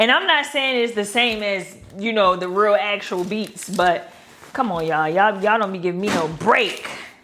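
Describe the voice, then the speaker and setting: An animated tone comes through over music in the background, with audible room echo. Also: woman. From Baltimore, Maryland. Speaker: lifestyle vlogger. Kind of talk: casual vlog, grocery haul.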